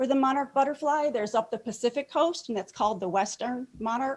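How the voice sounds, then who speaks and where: The pace of this speech is moderate. It carries lively intonation and an American accent. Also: woman. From metropolitan Detroit. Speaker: master gardener. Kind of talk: presentation talk. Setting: club meeting, in person and on video call.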